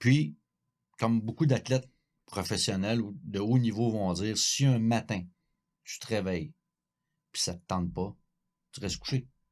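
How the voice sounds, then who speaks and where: A man with a fairly low pitch speaks at a fairly slow pace, with ordinary pitch variation, big swings in loudness and long, frequent pauses. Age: 60s. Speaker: cycling coach. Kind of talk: podcast conversation. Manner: halting, repetitive.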